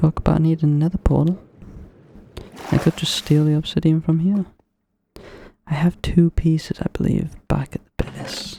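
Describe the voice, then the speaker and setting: The speaker is soft-spoken, with a calm tone. The pace is moderate. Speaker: ASMR gaming creator. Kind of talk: relaxed gameplay commentary. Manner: soft-spoken, calm.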